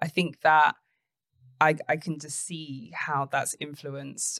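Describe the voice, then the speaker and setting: Speaking at a moderate pace in a London accent, a woman keeps a monotone, flat intonation. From North London. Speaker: podcast host, business CEO. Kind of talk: interview.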